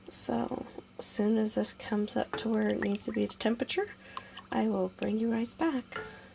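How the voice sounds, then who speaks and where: Noticeable background noise surrounds a woman who talks at a moderate pace. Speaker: homesteading vlogger. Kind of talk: cooking tutorial. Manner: casual, hesitant with fillers.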